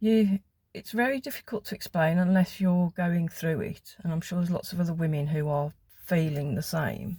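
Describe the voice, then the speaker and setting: In a dry, close sound with no echo, a woman speaks at a fairly slow pace in a fairly low pitch, her tone dark and mellow, somewhat breathy, with ordinary pitch variation. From West Midlands, England (Wolverhampton area). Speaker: vlogger. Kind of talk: casual chat.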